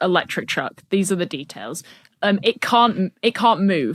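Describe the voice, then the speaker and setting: A woman puts on a wheezy character voice at medium pitch, with lively intonation and a fairly slow pace. The sound is dry and close with no echo, very clean against a silent background. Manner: wheezing laughter while speaking.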